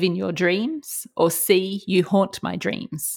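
A woman with an Australian accent speaks at a very slow pace and medium pitch. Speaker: trivia quizmaster. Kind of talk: game show quizzing. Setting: remote call.

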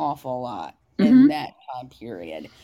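With an American accent, a woman speaks in a dark, mellow tone marked by vocal fry. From US South, Upper East Tennessee. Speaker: novelist. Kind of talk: interview. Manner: halting.

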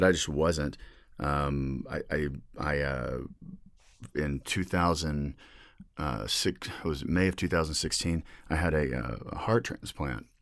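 A voice with vocal fry and ordinary pitch variation speaks at a fairly slow pace with long, frequent pauses, on a very clean recording with a silent background. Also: man, very deep, low pitch for a man. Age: 40s. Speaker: board gamer and podcast guest. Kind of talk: casual chat.

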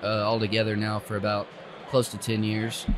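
There is noticeable background noise as a man speaks with an Appalachian accent. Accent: Southern US (Appalachian). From East Tennessee, US South. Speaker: arborist. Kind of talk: casual interview. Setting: tree industry festival.

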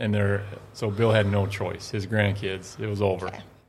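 A man with an Upper Midwest accent talks at a moderate pace in a fairly low, somewhat breathy voice with fairly even intonation. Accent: Upper Midwest American. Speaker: women's basketball coach. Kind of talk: casual chat. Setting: studio.

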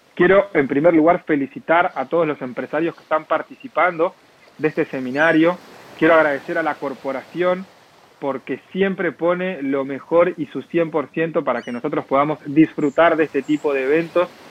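This man has an unremarkable speaking voice, fairly high in pitch, with fairly even intonation at a moderate pace in a dry, close sound with no echo. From Argentina, La Plata. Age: 20s. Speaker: network marketing entrepreneur. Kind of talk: interview.

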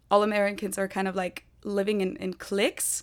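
With a German accent, a woman speaks at a moderate pace and medium pitch in a monotone, flat intonation. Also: very clean recording, silent background. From Germany (Munich, Bavaria). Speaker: YouTuber. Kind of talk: casual interview.

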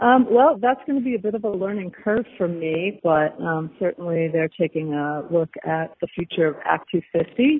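A woman with an American accent speaks in a fairly low pitch, using lively intonation and hardly any pauses. Noticeable background noise runs behind her. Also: moderate pace. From Massachusetts. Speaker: ski industry association president. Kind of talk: casual interview. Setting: phone call. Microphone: poor call recorder quality.

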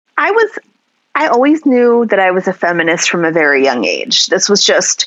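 A woman with a plain, everyday voice speaks at a medium pitch. Her pace is moderate. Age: 40s. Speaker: sex educator. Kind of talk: interview conversation.

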